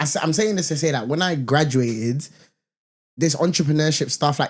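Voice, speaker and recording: A man speaks at a fairly quick pace with a London accent, his somewhat breathy voice fairly high in pitch and ordinary in its pitch variation. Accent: London multicultural English. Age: 20s. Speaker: corporate professional and content creator. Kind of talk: casual podcast chat.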